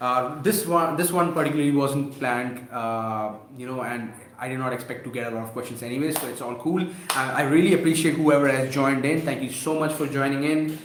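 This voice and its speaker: A man's fairly high-pitched voice at a fairly quick pace, with ordinary pitch variation, audible room echo and light background noise. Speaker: e-commerce seller and YouTuber; online seller, creator. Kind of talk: live stream Q&A. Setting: live stream. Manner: halting, many fillers and restarts. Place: home room. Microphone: webcam.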